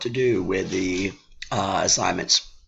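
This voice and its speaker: A man's fairly low voice at a moderate pace, with fairly even intonation and noticeable background noise. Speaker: history teacher. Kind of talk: recorded class instructions. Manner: hesitant, many fillers.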